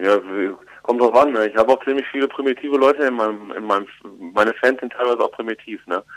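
Intonation stays fairly even. This man talks very fast. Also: medium pitch for a man. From Germany, Ruhr area. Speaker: comedian and musician. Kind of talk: interview. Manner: hesitant with fillers.

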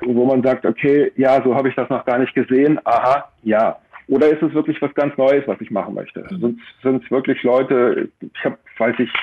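Speaking at a medium pitch and moderate pace with fairly even intonation, the man has a plain, everyday voice. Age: 50s. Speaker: life coach and motorcycle tour guide. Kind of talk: radio interview.

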